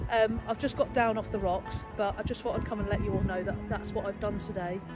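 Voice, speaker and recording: Over loud music in the background, a woman talks at a fairly quick pace in a dry sound with no echo. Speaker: vlogger. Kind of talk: casual vlog chat. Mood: nervous but upbeat. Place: forest. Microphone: lapel.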